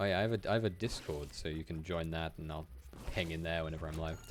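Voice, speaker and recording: Music plays in the background as a man with a very deep, low pitch talks at a fairly quick pace. His pitch variation is ordinary, and he leaves long, frequent pauses. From Wales. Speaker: video game streamer. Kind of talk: casual live-stream gameplay commentary. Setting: live stream. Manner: stammering, repeats words.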